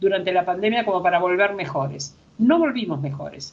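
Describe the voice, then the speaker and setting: Her pitch swings very widely. The woman sounds somewhat breathy. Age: 70s. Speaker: philosopher and gender researcher. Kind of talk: panel discussion.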